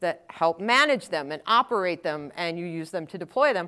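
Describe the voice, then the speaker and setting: In a very clean recording with a silent background, a woman speaks at a moderate pace with lively intonation. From Wisconsin. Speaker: technical evangelist. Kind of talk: conference talk. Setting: stage with audience.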